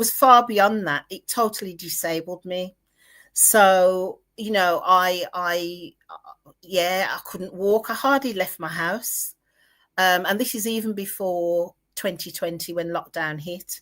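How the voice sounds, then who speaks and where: Speaking at a very slow pace, a woman uses a medium pitch with ordinary pitch variation and big swings in loudness. The recording is very clean, with a silent background. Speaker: publisher. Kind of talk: interview testimony.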